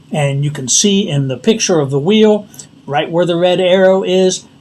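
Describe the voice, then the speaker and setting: Noticeable background noise behind a man's moderately paced speech with ordinary pitch variation. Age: 60s. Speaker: DIY tutorial channel host. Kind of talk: tutorial. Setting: outdoors in driveway.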